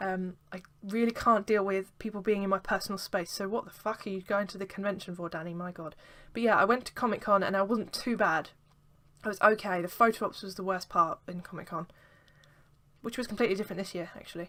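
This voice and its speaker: On a very clean recording with a silent background, a woman with an English accent speaks at a very fast pace in a medium pitch, her bright, sharp, animated voice showing big swings in loudness. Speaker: vlogger. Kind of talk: casual vlog.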